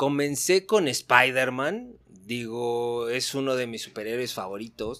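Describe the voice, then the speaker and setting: A man talks at a very slow pace with hardly any pauses and big swings in loudness. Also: medium pitch for a man, ordinary pitch variation. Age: 40s. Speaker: superhero figure collector. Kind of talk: casual chat.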